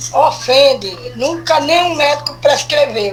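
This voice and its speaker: Fairly slow speech from a woman, with noticeable background noise. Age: 70s. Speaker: caller. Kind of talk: recorded listener question.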